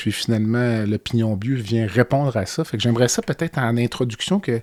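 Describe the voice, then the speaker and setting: In a very clean recording with a silent background and a dry, close sound with no echo, a man with a Quebec accent speaks at a moderate pace, with a medium pitch and fairly even intonation. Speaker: podcast host and physician. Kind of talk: interview.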